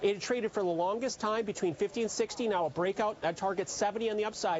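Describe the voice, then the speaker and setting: Speaking at a very fast pace, a man uses a high pitch and a slight Canadian accent. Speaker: chief market strategist. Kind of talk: TV interview.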